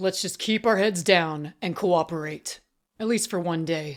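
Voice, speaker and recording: A female-sounding put-on character voice growls at a middle pitch and a moderate pace in a very clean recording with a silent background. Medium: read story. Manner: soothing, hopeful.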